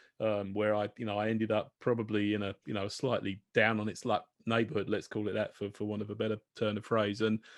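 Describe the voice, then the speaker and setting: A man talks very fast at a fairly low pitch with monotone, flat intonation and hardly any pauses. The background is quiet and the sound is dry and close, with no echo. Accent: British. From UK. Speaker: podcast host, craft beer enthusiast. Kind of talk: casual chat. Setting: video call.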